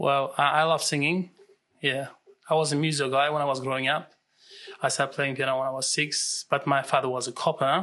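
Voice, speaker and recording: A man talks at a fairly quick pace in a monotone, flat delivery. His fairly high voice has a bright, sharp tone over a quiet background. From Russia and Turkey. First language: Russian. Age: 30s. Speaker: real estate agent. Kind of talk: interview.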